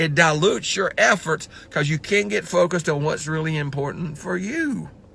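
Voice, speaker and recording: At a moderate pace, a man with fairly high pitch speaks in an animated, bright, sharp tone with lively intonation and vocal fry. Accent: Southern US. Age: 60s. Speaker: motivational speaker. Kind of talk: motivational talk.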